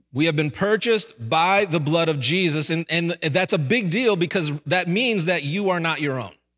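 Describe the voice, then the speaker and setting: With music in the background, a man with a high pitch talks at a moderate pace in an animated, energetic tone with ordinary pitch variation. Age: 40s. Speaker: senior pastor. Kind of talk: Pentecostal-style Sunday sermon with call-and-response to the congregation. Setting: church service with live congregation. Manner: animated, energetic preaching with 'somebody say amen' prompts; stumbling repetitions and filler when excited.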